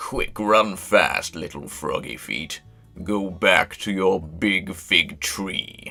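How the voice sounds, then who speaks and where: A raspy, put-on character voice moves at a very slow pace. Faint music plays in the background. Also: man, very deep, low pitch for a man. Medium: read story. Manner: taunting.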